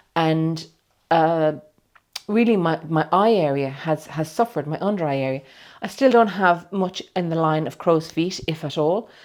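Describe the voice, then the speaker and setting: A woman with a plain, everyday voice, fairly low in pitch, at a moderate pace with ordinary pitch variation. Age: 60s. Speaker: client having a cosmetic procedure. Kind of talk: personal testimony to camera. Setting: clinic treatment room.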